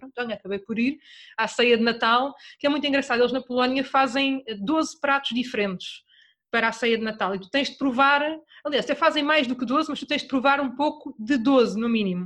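Her voice is high-pitched, and this woman speaks at a moderate pace with ordinary pitch variation and big swings in loudness. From Portugal, Torres Vedras. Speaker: travel podcaster. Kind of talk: casual chat.

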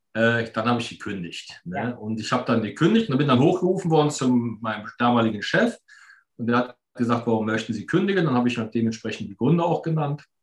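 Lively in intonation, a man talks at a very fast pace and medium pitch. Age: 50s. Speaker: entrepreneur and financial mentor. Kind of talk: casual interview.

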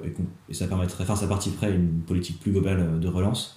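A man speaks at a very fast pace with a very deep, low pitch, a dark, mellow tone, a somewhat breathy quality, fairly even intonation, and audible room echo. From Normandy, France (Rouen). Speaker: student activist. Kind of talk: interview. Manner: halting, many repetitions and fillers.

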